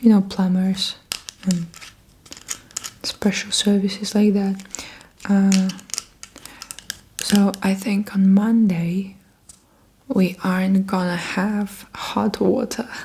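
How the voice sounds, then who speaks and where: Soft-spoken and very slow, the voice leaves long, frequent pauses over noticeable background noise. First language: Russian. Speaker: ASMR creator. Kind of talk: ASMR haul, soft spoken. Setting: at home, block of flats.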